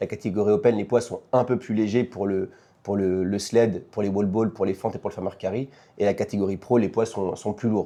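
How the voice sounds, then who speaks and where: Over a quiet background, a man talks at a fairly quick pace in a fairly low voice with a dark, mellow tone and fairly even intonation. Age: 30s. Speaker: fitness competition athlete. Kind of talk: podcast interview. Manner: hesitant, many fillers.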